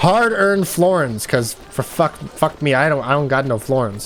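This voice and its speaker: Over noticeable background noise, a man with a fairly high voice sounds animated, his intonation lively and his pace moderate. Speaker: gaming streamer. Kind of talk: let's play commentary. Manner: loud.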